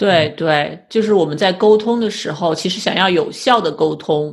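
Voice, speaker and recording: Over a silent background in a very clean recording, a woman speaks at a moderate pace, somewhat breathy, with ordinary pitch variation. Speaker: podcast host, clinical psychologist. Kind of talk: interview.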